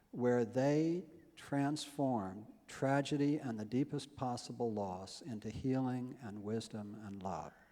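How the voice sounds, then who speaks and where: Over audible room echo, a man speaks very slowly in a dark, mellow tone with ordinary pitch variation. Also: medium pitch for a man. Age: 60s. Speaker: health-care nonprofit founder. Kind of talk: conference speech. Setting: stage with audience.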